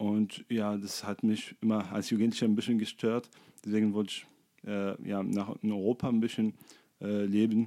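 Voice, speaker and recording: On a very clean recording with a silent background, the voice has a dark, mellow tone, monotone, flat intonation, and a moderate pace. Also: man, fairly low pitch for a man. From Tunisia, Sfax. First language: Arabic (speaking German). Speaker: doctor. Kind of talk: casual chat. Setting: flatshare kitchen table. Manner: halting, many fillers.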